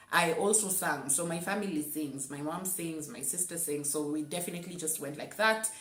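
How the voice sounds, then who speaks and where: Noticeable background noise sits behind a woman with a fairly low pitch. She talks at a fairly quick pace with hardly any pauses and ordinary pitch variation. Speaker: voice artist. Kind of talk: casual talk to camera.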